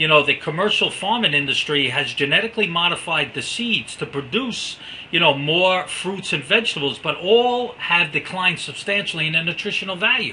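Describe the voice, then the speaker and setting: A man with a high voice talks at a fairly quick pace with lively intonation and hardly any pauses, over noticeable background noise. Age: 60s. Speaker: network marketing presenter. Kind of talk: sales presentation. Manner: animated.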